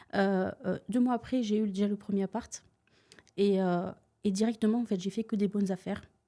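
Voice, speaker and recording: A woman's dark, mellow tone, monotone, flat intonation, moderate pace and long, frequent pauses. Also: medium pitch for a woman. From Tunisia. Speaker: real estate investor. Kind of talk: podcast interview. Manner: hesitant, many filler sounds.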